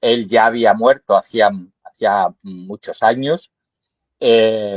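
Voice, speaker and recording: A man's medium-pitched voice at a very slow pace, with ordinary pitch variation and a dry, close sound with no echo. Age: 70s. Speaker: poet. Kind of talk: interview. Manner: halting, many fillers.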